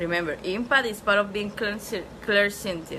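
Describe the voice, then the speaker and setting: A woman speaks with a non-native accent and ordinary pitch variation, with noticeable background noise and audible room echo. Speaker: spiritual teacher. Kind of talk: online class lecture. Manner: casual, repetitive filler.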